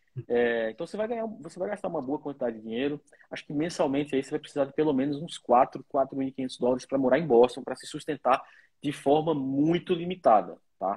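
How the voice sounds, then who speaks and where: An ordinary speaking voice from a man, fairly high in pitch and fairly quick, with ordinary pitch variation and big swings in loudness. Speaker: lawyer. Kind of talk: interview.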